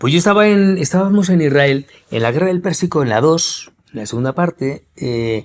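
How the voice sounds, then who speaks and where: At a moderate pace, a man with a fairly high pitch talks in an animated tone with lively intonation. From Spain, Madrid. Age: 60s. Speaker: war correspondent journalist. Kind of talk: interview conversation.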